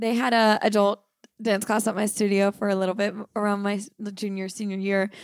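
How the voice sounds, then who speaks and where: Flat and monotone, a woman speaks at a fairly quick pace in a medium pitch, in a very clean recording with a silent background. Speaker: podcast host. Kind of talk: casual chat.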